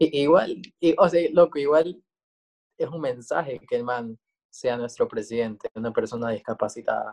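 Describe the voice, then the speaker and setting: A man with an unremarkable speaking voice talks at a medium pitch and a moderate pace, with ordinary pitch variation and a dry, close sound with no echo. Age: 20s. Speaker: drag queen and journalist. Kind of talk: casual chat.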